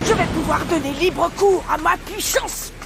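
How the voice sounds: A cartoonish character voice with vocal fry, fairly slow and with ordinary pitch variation, amid audible room echo and clear background music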